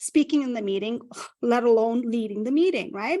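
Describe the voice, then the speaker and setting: Speaking with a non-native accent, a woman uses a fairly high pitch. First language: not English. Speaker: career strategist. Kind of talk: interview.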